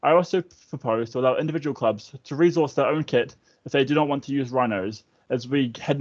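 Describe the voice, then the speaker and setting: Someone with a New Zealand accent talks at a fairly quick pace. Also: man. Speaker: student election candidate. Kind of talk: campaign speech.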